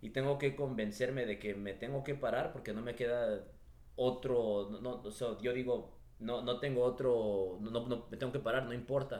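This man talks at a moderate pace in a medium pitch. His intonation stays fairly even. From Los Angeles (Echo Park), Mexican parents. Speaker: real estate entrepreneur. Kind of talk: interview. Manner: halting, with frequent word repetitions.

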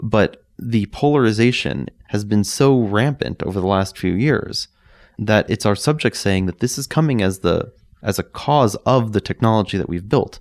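A man with a plain, everyday voice, fairly low in pitch with ordinary pitch variation, at a moderate pace on a very clean recording with a silent background. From New York, Staten Island. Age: 30s. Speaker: documentary filmmaker. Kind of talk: interview. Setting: in person, Park City.

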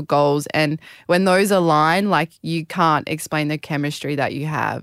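Recorded dry and close with no echo and a very clean, silent background, a woman with an Australian accent speaks at a fairly slow pace with ordinary pitch variation. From rural Queensland, Australia. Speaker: Olympic beach volleyball player. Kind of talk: interview.

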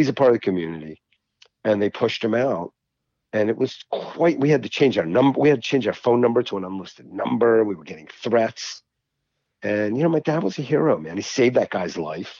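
In a normal speaking voice with an American accent, a man at a medium pitch talks fairly quickly, with lively intonation and big swings in loudness. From Baltimore, Maryland. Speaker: psychiatrist and trader. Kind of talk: casual chat.

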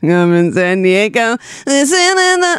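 A female-sounding voice uses a put-on character voice at a fairly high pitch. It moves at a fairly slow pace with very wide pitch swings. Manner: theatrical, dramatic.

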